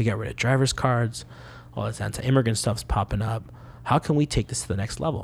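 A man speaks very fast at a medium pitch. There is vocal fry, and his pitch varies in an ordinary way. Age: 20s. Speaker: immigrant rights organizer. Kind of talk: casual interview.

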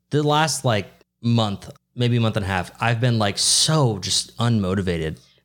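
With a normal speaking voice, a man talks at a medium pitch and moderate pace in a very clean recording with a silent background. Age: 20s. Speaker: podcast co-host. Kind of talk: casual chat.

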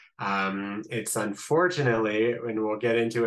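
Speaking at a fairly slow pace with a slight Midwestern accent, a man keeps a fairly low pitch and fairly even intonation. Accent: slight Midwestern American. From US Midwest, Columbus, Ohio. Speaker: rabbi. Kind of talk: interview, explaining politics.

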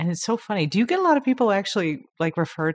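A woman talking at a very fast pace with very wide pitch swings. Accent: American. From Long Island, New York. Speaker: newspaper editor and podcast host. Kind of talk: casual interview.

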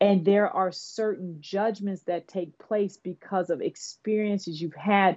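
A woman with an American accent and an unremarkable speaking voice talks at a fairly slow pace with hardly any pauses, at medium pitch and with fairly even intonation. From Oakland, California. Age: 50s. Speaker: business executive and author. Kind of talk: interview.

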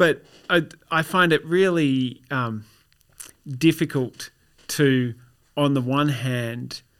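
The recording is very clean and its background silent. On it, a man talks with an Australian accent. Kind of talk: casual chat. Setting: studio.

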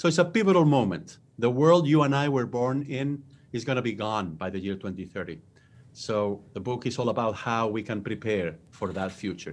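A man speaks in a Spanish accent at medium pitch. His pace is moderate and his intonation lively. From Spain. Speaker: business school professor and author. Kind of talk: interview. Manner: halting, frequent filler sounds.

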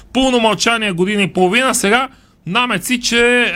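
A man speaks in a raised, projected voice with a bright, sharp tone. His pace is moderate. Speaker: sports radio host. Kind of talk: radio talk show discussion. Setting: radio studio.

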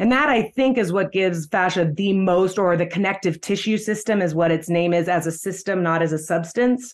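A woman in a plain, everyday voice, medium in pitch, at a fairly quick pace with hardly any pauses and very even loudness. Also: ordinary pitch variation. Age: 40s. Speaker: fascia movement teacher. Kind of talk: interview.

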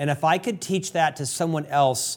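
The very clean recording with a silent background captures a man with a plain, everyday voice, fairly high in pitch, speaking at a moderate pace with ordinary pitch variation. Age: 50s. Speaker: podcast host. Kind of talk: interview.

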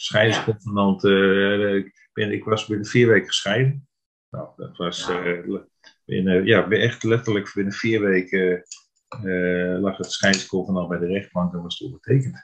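Here is an unremarkable speaking voice from a man, fairly low in pitch. He speaks at a fairly slow pace. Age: 50s. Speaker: therapy client. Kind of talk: interview.

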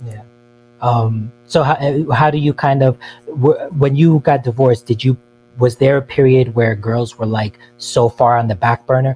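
In a dry, close sound with no echo, a man speaks at medium pitch and a moderate pace, his dark, mellow tone somewhat breathy and his intonation fairly even. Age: 30s. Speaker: caller. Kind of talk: call-in advice chat.

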